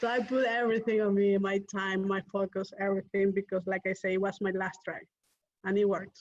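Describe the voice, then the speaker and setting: A woman's medium-pitched voice with a non-native accent, monotone, flat intonation and a fairly quick pace, in a dry, close sound with no echo. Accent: foreign. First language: not English. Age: young. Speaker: real estate investor. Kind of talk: interview.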